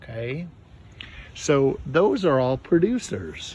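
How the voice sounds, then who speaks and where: Somewhat breathy speech with lively intonation at a fairly slow pace. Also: man. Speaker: teacher. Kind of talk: lesson for children. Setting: outdoors. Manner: soft-spoken.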